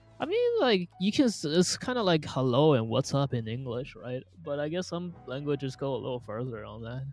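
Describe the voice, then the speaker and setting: Music plays in the background as the voice keeps a moderate pace. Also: hardly any pauses. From Malaysia (ethnically Chinese). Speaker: gaming streamer. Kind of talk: casual gameplay commentary. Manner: animated.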